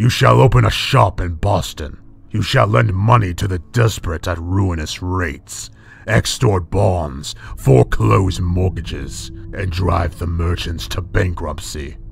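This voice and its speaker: A man does a put-on character voice, gruff and very deep. He speaks at a fairly slow pace over clear music in the background. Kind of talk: horror narration. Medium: read story. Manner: menacing, grim, commanding.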